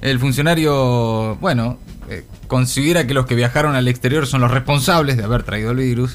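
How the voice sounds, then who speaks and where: The speech runs at a fairly quick pace. Noticeable background noise sits behind it. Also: man. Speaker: radio co-host. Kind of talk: radio news discussion. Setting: studio. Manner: halting.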